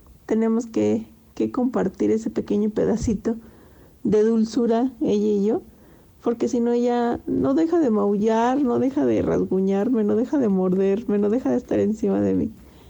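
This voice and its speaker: A woman at a moderate pace, her loudness very even. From Mexico, Zacatecas. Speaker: pet owner, quality department worker. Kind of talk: personal anecdote, casual.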